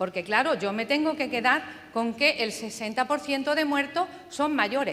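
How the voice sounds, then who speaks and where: A woman talks in a high pitch at a moderate pace, her intonation lively. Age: 70s. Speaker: audience member. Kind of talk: audience question.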